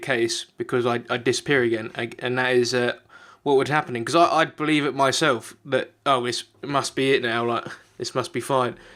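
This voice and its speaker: Over a silent background in a very clean recording, a man with a British accent speaks at medium pitch and a moderate pace with fairly even intonation. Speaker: YouTuber. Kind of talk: personal vlog confession. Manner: halting; unscripted.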